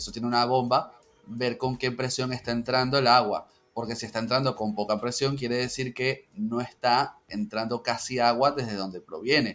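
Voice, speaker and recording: With a plain, everyday voice, a man speaks at a moderate pace and medium pitch with fairly even intonation. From Venezuela, Caracas. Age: 30s. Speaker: university statistics lecturer. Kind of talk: casual chat.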